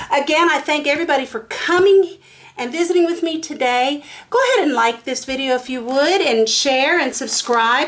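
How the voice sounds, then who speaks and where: A high-pitched woman with an American accent, ordinary pitch variation, and noticeable background noise. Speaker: resin artist and craft video maker. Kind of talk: tutorial. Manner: fast; casual, chatty with fillers.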